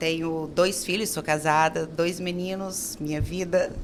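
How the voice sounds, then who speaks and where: Over noticeable background noise, a woman with a fairly low pitch speaks at a fairly slow pace in a monotone, flat intonation. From Brazil, Minas Gerais. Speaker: architect and business owner. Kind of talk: interview.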